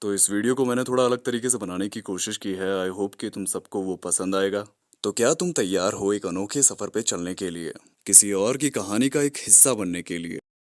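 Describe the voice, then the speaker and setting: A man talks at a moderate pace in an unremarkable speaking voice, fairly low, with ordinary pitch variation. The recording is very clean, with a silent background and a dry, close sound with no echo. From India. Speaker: voice artist. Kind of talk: casual talk to camera.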